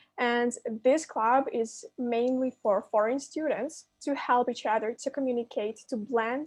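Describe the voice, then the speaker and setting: With hardly any pauses, a woman speaks at a fairly slow pace in a high voice with fairly even intonation, the sound dry and close with no echo. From Ukraine. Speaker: university student ambassador. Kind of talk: admission briefing presentation.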